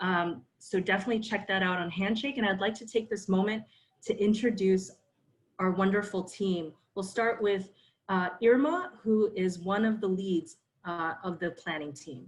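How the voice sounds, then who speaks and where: With an American accent, a woman talks at a moderate pace in a somewhat breathy voice of medium pitch and ordinary variation. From New York City. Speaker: career counselor, panel moderator. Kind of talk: online panel moderation. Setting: video call.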